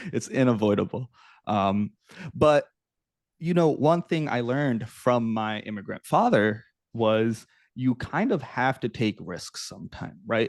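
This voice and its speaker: A man with an unremarkable speaking voice and an American accent speaks fairly slowly at a medium pitch with ordinary pitch variation, in a dry, close sound with no echo. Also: quiet background. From US South (Norfolk, Virginia). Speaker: startup founder. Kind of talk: interview.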